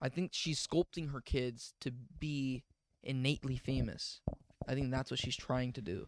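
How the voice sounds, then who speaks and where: Over noticeable background noise, a man speaks at a moderate pace with fairly even intonation in a dry sound with no echo. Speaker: podcast co-host. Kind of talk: casual chat. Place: home room. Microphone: handheld.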